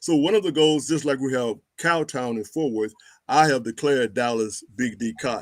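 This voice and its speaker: A man with an American accent and an unremarkable speaking voice, medium in pitch, with ordinary pitch variation at a moderate pace. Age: 60s. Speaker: historian. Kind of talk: interview.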